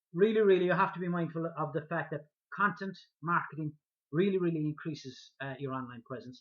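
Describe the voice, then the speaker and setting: A man speaks with a strong Irish accent. His pitch is high. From Ireland. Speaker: online marketing vlogger. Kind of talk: talking-head video tutorial. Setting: speaking to camera. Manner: hesitant with many fillers and repetitions.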